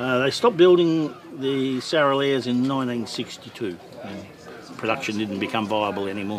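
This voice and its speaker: A man's medium-pitched voice at a moderate pace with ordinary pitch variation, plus noticeable background noise and audible room echo. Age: 60s. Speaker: vintage motorcycle owner. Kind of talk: interview.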